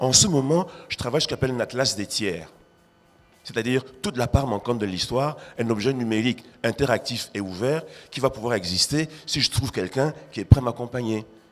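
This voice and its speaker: An animated, fairly quick voice with ordinary pitch variation and music in the background. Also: man, medium pitch for a man. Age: 60s. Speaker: art critic and writer. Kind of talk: panel discussion.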